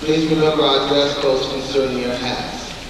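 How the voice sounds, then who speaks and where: Strong room echo and noticeable background noise surround a man speaking at a moderate pace. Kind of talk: assembly announcement. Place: hall.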